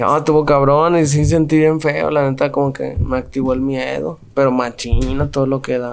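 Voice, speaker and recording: A man's fairly high voice, fairly even in intonation, with hardly any pauses amid noticeable background noise. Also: moderate pace. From Mexico, Guanajuato (Santa Fe barrio). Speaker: rapper. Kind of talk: casual interview.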